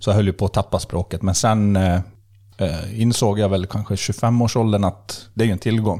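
A man talks at a moderate pace in a fairly low pitch with a dark, mellow tone. The recording is very clean, with a silent background. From Sweden, Borlänge (Dalarna). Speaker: fishing expert. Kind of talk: casual chat. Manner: animated.

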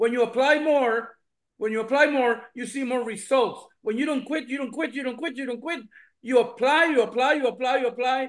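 A man's extremely high pitch at a fairly quick pace. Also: fairly even intonation. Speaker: business owner, testimonial. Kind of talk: testimony.

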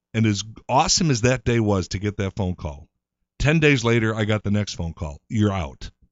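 This man has an unremarkable speaking voice, fairly low in pitch, and he talks at a fairly quick pace with lively intonation in an American accent. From Chicago. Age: 50s. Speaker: actor. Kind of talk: casual chat.

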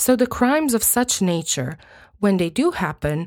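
A woman with a Croatian accent speaks at a fairly high pitch on a very clean recording with a silent background. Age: 30s. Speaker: true crime podcast host. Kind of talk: scripted narration.

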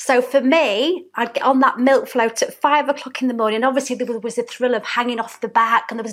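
The speaker has a Yorkshire accent, talking at a fairly quick pace with fairly even intonation. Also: woman. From Hatfield, near Doncaster, South Yorkshire. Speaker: small business owner, interview guest. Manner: warm, chatty.

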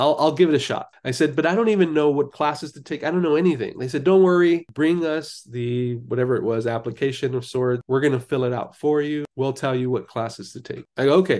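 Against a quiet background, a man with a Californian accent speaks at a fairly quick pace with hardly any pauses and ordinary pitch variation. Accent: Californian American. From Los Angeles, US. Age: 50s. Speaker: life coach and clinical social worker. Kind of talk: interview.

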